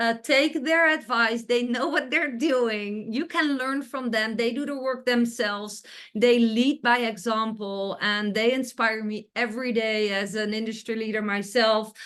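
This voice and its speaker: Over a quiet background, a woman with a fairly high pitch talks at a fairly slow pace with ordinary pitch variation and hardly any pauses. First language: not English. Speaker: interviewer, online business coach. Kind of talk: interview. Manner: animated.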